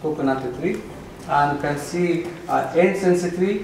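In a room with audible echo, a man talks at a fairly slow pace with vocal fry, a slightly mellow tone and ordinary pitch variation. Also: fairly high pitch for a man.

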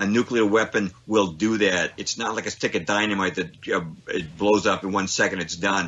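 In an ordinary speaking voice, a man talks at a moderate pace with hardly any pauses. His pitch is fairly low and his intonation fairly even. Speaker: author and researcher on 9/11. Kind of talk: radio interview.

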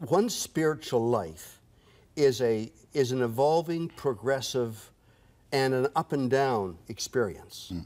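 With a Canadian accent and lively intonation, a man at a medium pitch speaks very slowly, with long, frequent pauses. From Canadian Prairies. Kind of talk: TV interview. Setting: studio. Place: studio. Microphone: lapel.

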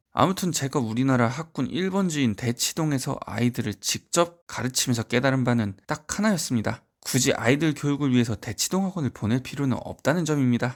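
A man with an unremarkable speaking voice talks at a fairly quick pace in a medium pitch, with hardly any pauses. His intonation is lively, and the recording is very clean with a silent background. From rural provincial South Korea. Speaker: private academy tutor and education YouTuber. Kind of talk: scripted talk to camera. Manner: formal.

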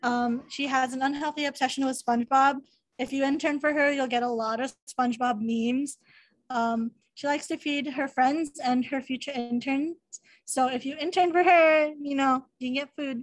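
Someone with an American accent talks at a moderate pace with fairly even intonation. The background is quiet. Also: woman, high pitch for a woman. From San Diego, California; California. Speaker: student club officer. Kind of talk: presentation. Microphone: video call.

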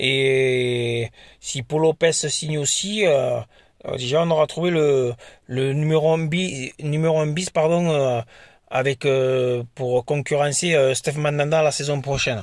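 A man's fairly high voice with fairly even intonation, at a very slow pace, in a dry sound with no echo and a quiet background. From France. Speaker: football YouTuber; football fan vlogger. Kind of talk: casual vlog monologue. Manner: hesitant, many fillers. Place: car. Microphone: phone near.

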